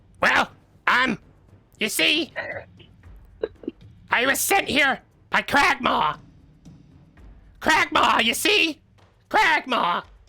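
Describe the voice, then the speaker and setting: Using a put-on character voice at high pitch, the speaker goes at a very slow pace with long, frequent pauses while music plays in the background. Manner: hesitant, repetitive.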